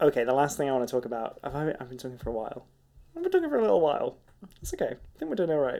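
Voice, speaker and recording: Very fast speech with a British accent and big jumps in volume. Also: man. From UK. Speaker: podcast co-host. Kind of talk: casual chat.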